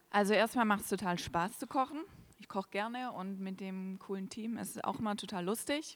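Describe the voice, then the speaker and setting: An ordinary speaking voice from a woman, medium in pitch, at a moderate pace and with ordinary pitch variation. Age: 20s. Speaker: church volunteer cook. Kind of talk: interview on stage during church service.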